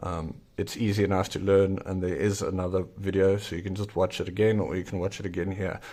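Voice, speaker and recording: A fairly low-pitched man with a South African accent. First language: Afrikaans. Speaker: zine maker and YouTuber. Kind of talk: tutorial. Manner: casual with frequent fillers.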